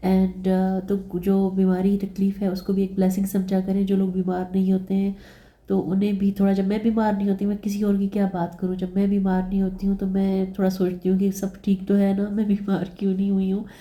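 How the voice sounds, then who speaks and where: A woman speaks at a medium pitch with a dark, mellow, somewhat breathy tone. Her delivery is monotone and flat, with very even loudness and hardly any pauses. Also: moderate pace. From Pakistan. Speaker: vlogger. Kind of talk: casual vlog narration. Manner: conversational, with fillers.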